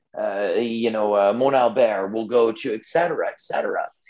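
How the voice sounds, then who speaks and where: At a medium pitch, a man talks in an unremarkable speaking voice, his pitch varying in an ordinary way. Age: 50s. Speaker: ultramarathon runner and expedition adventurer. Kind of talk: podcast interview.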